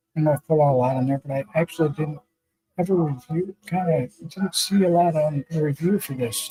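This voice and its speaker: With music in the background, a man with a fairly high pitch and ordinary pitch variation speaks at a moderate pace in a dry, close sound with no echo. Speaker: motorcycle builder and streamer. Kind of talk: casual live stream chat. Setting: live stream, remote with green screen. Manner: halting, many filler words.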